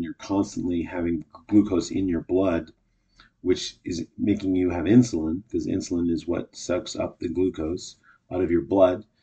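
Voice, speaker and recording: A man with a Canadian accent talks at a moderate pace in a very deep, low pitch. His dark, mellow tone is somewhat breathy, with fairly even intonation. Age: 50s. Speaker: podcast host, actor and comedian. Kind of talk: solo casual monologue. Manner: hesitant, many fillers.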